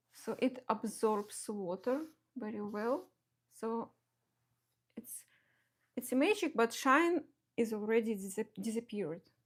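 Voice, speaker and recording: Pausing long and often, a woman with a fairly high pitch speaks at a fairly slow pace in a strong Russian accent, with ordinary pitch variation. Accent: heavy Russian. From Belarus. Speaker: watercolor artist. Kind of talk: live painting tutorial. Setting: home studio live stream. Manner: halting, many fillers and restarts.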